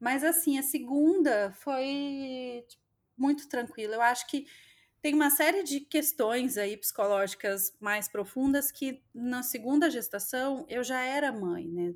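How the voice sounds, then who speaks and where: On a very clean recording with a silent background, a woman with a high pitch speaks at a very slow pace with lively intonation. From southwest Minas Gerais, Brazil. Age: 30s. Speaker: mother sharing birth stories. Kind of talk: personal testimony in interview.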